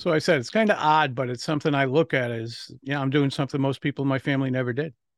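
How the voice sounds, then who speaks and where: In a very clean recording with a silent background and a dry, close sound with no echo, a man talks at a very fast pace. He has an American accent and a fairly high pitch with ordinary pitch variation. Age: 60s. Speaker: public speaking coach and author. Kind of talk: interview.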